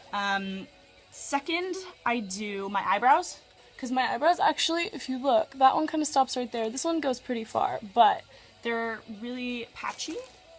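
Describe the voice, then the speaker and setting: Music plays behind a woman speaking at a moderate pace. Her pitch swings very widely. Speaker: makeup vlogger. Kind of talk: casual makeup tutorial. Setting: bedroom at parents' house. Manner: loud; chatty, many fillers.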